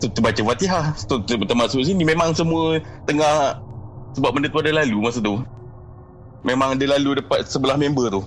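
Fairly high-pitched and animated, a man talks at a fairly quick pace with ordinary pitch variation and very even loudness amid noticeable background noise. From Pahang, Malaysia. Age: 30s. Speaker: caller sharing ghost story. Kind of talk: storytelling. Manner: animated, with sound effects.

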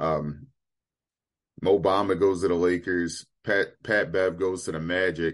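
Against a quiet background, a man with an American accent speaks at a fairly slow pace, his very deep, low pitch held in fairly even intonation. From Maryland, Baltimore area. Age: 20s. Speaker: podcast host. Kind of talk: casual chat. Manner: halting, many fillers.

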